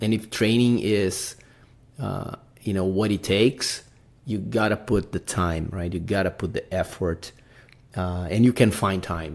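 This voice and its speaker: A man with a Brazilian accent speaks at a fairly slow pace, his fairly low pitch showing ordinary variation. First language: Portuguese. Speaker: podcast host, amateur mountaineer. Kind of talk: casual podcast monologue. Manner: halting, many fillers.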